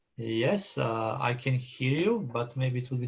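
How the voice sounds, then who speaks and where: With a non-native accent, a man talks at a medium pitch in a somewhat breathy voice. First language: not English. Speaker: session chair. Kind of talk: conference moderation. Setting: video call. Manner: halting.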